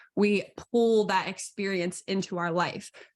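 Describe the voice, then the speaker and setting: At a moderate pace and medium pitch, a woman speaks in an energetic tone against a quiet background. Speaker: energy healer and intuitive coach. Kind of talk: online coaching lesson.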